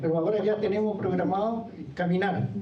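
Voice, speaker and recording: There is audible room echo as a man talks in a high voice with lively intonation. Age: 70s. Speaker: former park ranger, trail co-founder. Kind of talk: public talk. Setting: lecture hall with audience. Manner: halting.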